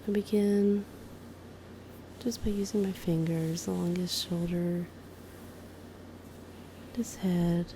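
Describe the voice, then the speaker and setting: Soft-spoken and somewhat breathy, a woman with a fairly low pitch and a dark, mellow tone talks at a very slow pace with long, frequent pauses, fairly even intonation and very even loudness. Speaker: amateur massage ASMR creator. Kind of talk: ASMR massage narration.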